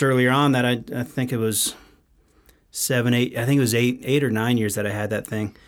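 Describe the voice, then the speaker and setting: In a very clean recording with a silent background, a man with an American accent and a plain, everyday voice talks at medium pitch and a fairly quick pace. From Texas. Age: 40s. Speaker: whiskey distillery owner. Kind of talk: casual podcast interview.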